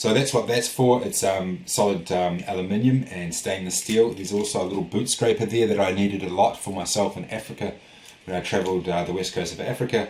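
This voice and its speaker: A man speaks at a fairly low pitch and a fairly quick pace. His intonation is fairly even. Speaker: industrial designer and product vlogger. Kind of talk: product vlog. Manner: fast; hesitant, many fillers.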